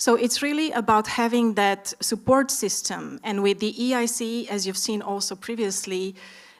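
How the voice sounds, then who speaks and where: Speaking at a moderate pace, a woman with an Eastern European accent has a fairly high pitch and fairly even intonation. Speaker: startup expert, panelist. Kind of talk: conference panel discussion.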